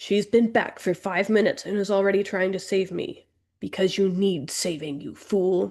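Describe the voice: A quiet background behind plain reading aloud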